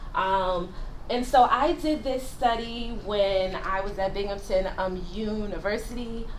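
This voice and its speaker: Amid noticeable background noise and audible room echo, a woman speaks at a fairly slow pace in a fairly high pitch. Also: ordinary pitch variation. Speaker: researcher presenting at ethics training. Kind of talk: academic presentation. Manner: halting, many fillers and restarts.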